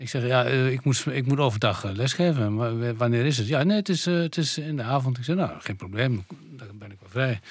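Over a very clean, silent background, a man speaks at a fairly quick pace in a medium pitch. His intonation is lively, and his loudness swings widely. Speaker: composer and bandleader. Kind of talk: interview. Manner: halting.

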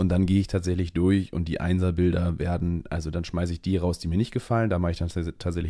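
A man speaks very fast in a very deep, low, dark and mellow voice with monotone, flat intonation on a very clean recording with a silent background. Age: 20s. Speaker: trainee event manager and photographer. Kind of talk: casual chat.

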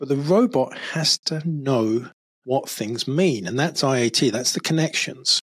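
A very slow pace with lively intonation. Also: man. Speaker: behavioural analyst. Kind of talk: casual conversational interview. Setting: recorded on camera.

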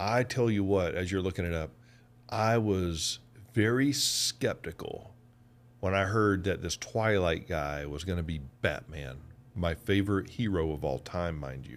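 In a Southern US accent, a man with a very deep, low pitch talks at a fairly slow pace with lively intonation. The recording is very clean, with a silent background. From US South, Georgia. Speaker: podcast co-host. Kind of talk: casual chat.

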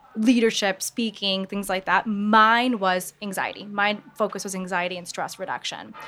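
Over background music, a woman with an American accent talks at a moderate pace with hardly any pauses, medium pitch, fairly even intonation and big swings in loudness. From US Midwest, Michigan. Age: 20s. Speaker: author and mental health coach. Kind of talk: interview. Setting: live audience at market venue.

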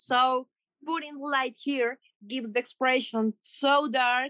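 Here a woman speaks with a Spanish accent at a fairly slow pace. Her high pitch and bright, sharp tone come through in dry, close sound with no echo. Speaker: makeup artist and creative director. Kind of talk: interview. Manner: halting.

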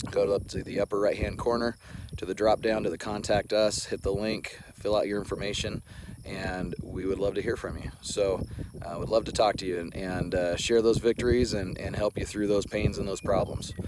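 Using an unremarkable speaking voice, a man talks fairly quickly at a fairly low pitch. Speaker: healthcare business owner making a video. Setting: in a car, video recorded outdoors. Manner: casual, rambling with many fillers.

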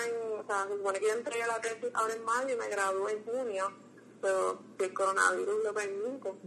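Over noticeable background noise, a woman with a Puerto Rican accent speaks at a fairly high pitch and a fairly slow pace. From Puerto Rico, Las Piedras. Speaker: graduate student and cultural archive founder. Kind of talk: casual interview.

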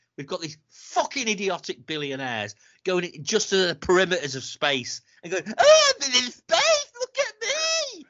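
A man speaks at a moderate pace with a British accent. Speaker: podcast co-host. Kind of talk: casual chat, rant. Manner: sarcastic, caustic, ranting.

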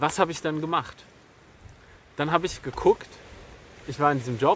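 Noticeable background noise sits behind a man with a fairly high voice. He talks at a fairly quick pace with ordinary pitch variation. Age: 30s. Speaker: podcast host. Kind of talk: solo monologue. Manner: halting.

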